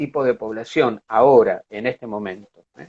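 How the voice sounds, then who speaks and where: Using an unremarkable speaking voice, a man talks at a moderate speed, his pitch varying in an ordinary way. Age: 60s. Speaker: psychologist and art therapist. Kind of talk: interview. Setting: online live stream.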